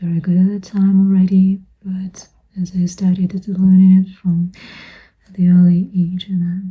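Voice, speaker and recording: With a non-native accent, the speaker talks rather slowly. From Europe. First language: not English. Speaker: vlogger sharing personal memories. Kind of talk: casual personal vlog monologue. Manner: hesitant with many fillers.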